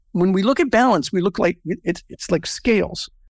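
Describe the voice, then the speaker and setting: Speaking at a fairly quick pace in a Californian accent, a man has a high pitch and ordinary pitch variation, heard in a very clean, dry, close recording with a silent background and no echo. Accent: General American (Californian). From US, Southern California. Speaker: business networking organization founder. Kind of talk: interview.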